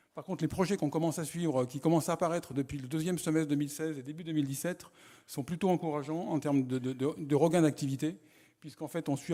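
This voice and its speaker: A man speaks very fast in a dark, mellow tone with fairly even intonation. The recording is very clean, with a silent background. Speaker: economic development presenter. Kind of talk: conference presentation. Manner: halting.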